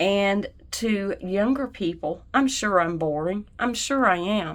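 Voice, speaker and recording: Speaking very slowly, a woman is heard on a very clean recording where the background is silent. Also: medium pitch for a woman, ordinary pitch variation. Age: 60s. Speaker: card-making YouTuber. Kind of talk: craft tutorial with personal chat. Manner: casual, conversational.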